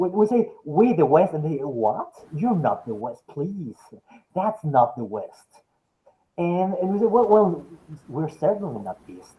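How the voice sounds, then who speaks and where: A man with a Spanish accent speaks at a fairly slow pace in a high pitch. His pitch swings very widely and his loudness shifts a lot. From Mexico City, Mexico. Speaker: philosophy professor. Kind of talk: academic lecture Q&A discussion. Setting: webinar video call. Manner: halting, with frequent repetitions.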